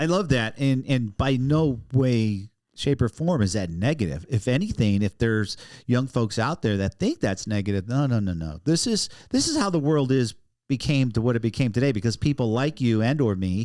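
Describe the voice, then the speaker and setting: In a very clean recording with a silent background, a man with an ordinary speaking voice talks at a moderate pace and medium pitch with lively intonation. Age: 60s. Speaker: podcast host. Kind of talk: casual interview.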